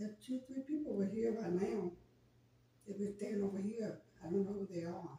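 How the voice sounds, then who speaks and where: A woman of medium pitch speaks at a fairly quick pace with long, frequent pauses amid noticeable background noise. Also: ordinary pitch variation. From Arkansas. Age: 60s. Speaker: passerby. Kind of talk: casual chat.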